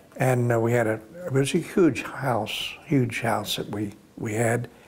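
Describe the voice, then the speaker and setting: With an American accent, a man speaks at a fairly slow pace and fairly even intonation against noticeable background noise. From US South, Florida. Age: 80s+. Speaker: war veteran. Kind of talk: oral history interview. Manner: halting.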